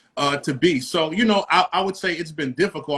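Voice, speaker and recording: A man with a New York accent talks at a fairly quick pace with ordinary pitch variation. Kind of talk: casual interview.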